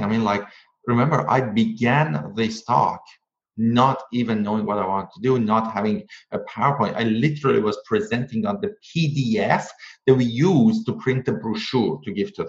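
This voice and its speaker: Speaking with a non-native accent, a man uses an enthusiastic tone and lively intonation at a medium pitch and a moderate pace. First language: not English. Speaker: author and public speaking coach. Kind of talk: casual interview.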